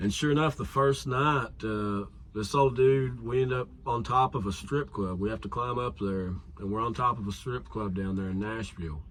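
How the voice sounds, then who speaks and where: His pitch sits in the medium range and varies in an ordinary way. The man's delivery keeps a moderate pace. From Kentucky (Somerset). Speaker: musician / songwriter. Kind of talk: casual interview chat.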